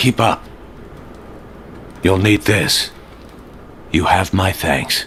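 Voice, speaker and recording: Putting on a character voice, a man speaks at a very deep, low pitch and a very slow pace, with long, frequent pauses and clear background noise. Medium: video game. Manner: terse, determined.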